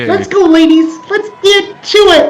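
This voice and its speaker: A put-on character voice, squeaky and extremely high in pitch, moves at a fairly slow pace over faint music in the background. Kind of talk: comic overacting. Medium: actual play. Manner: bubbly, enthusiastic; weary, exasperated.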